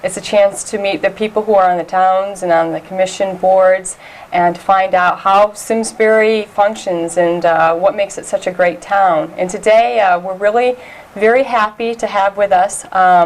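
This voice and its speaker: A woman with an American accent talks at a medium pitch and moderate pace, her intonation fairly even. Noticeable background noise is present. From upstate New York (Elmira). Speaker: community TV host. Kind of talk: interview.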